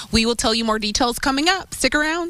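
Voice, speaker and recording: A woman speaks in a raised, projected voice with ordinary pitch variation. Noticeable background noise comes through. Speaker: TV news reporter and anchor. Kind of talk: TV news live shot. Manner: upbeat.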